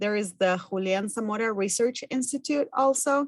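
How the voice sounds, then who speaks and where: A woman with a Spanish accent. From Argentina. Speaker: farm business management educator. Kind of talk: work presentation.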